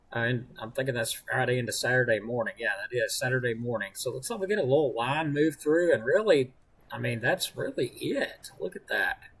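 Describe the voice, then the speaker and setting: A man talks fairly quickly. Behind him is noticeable background noise. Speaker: amateur weather forecaster. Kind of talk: live-stream weather forecast talk.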